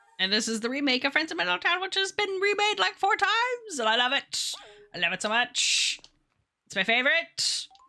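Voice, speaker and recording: Using a raised, projected voice, a woman speaks at a high pitch with very wide pitch swings. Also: fairly quick pace. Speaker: video game streamer. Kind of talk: casual chat.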